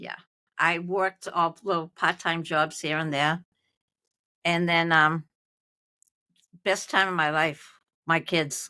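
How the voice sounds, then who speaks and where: Very slowly and with long, frequent pauses, a woman with a Boston accent speaks in a fairly low, bright, sharp tone, her intonation monotone and flat, the sound dry and close with no echo. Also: very clean recording, silent background. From Malden, Massachusetts. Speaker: retired nurse. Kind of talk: interview answer.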